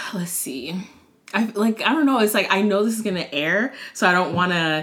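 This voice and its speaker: A woman with an American accent at a fairly quick pace, noticeable background noise behind her. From Maryland, Montgomery County. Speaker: former teacher and food blogger. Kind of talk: casual chat. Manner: hesitant, many fillers.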